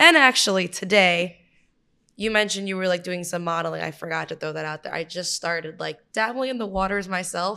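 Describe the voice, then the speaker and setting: A woman with a New York accent at a fairly quick pace, ordinary pitch variation, and a very clean recording with a silent background. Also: medium pitch for a woman. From Brooklyn, New York. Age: 20s. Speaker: writer. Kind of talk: casual chat.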